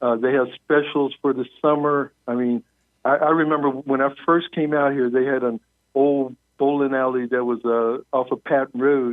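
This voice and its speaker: In a Southern US accent, a man talks at a moderate pace and medium pitch, with monotone, flat intonation and very even loudness. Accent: Southern American. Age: 70s. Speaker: military base newspaper writer. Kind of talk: radio interview. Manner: halting, many fillers.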